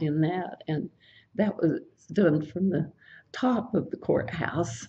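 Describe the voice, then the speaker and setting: A woman's very slow, somewhat breathy voice with an American accent, fairly low in pitch, dark and mellow in tone, with ordinary pitch variation. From Brooksville, Florida, US. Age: 80s+. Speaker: oral history interviewee. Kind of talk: oral history interview answer. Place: office.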